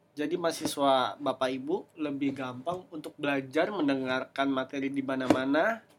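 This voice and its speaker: Over noticeable background noise, a man with a fairly high pitch talks at a moderate pace with ordinary pitch variation and hardly any pauses. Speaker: podcaster. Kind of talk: solo podcast talk. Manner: halting; casual.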